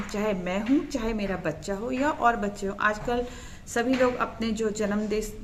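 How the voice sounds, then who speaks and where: Through noticeable background noise and audible room echo, a woman speaks at a fairly high pitch with ordinary pitch variation. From Garhwal, Uttarakhand. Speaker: family vlogger. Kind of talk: vlog explanation. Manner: halting.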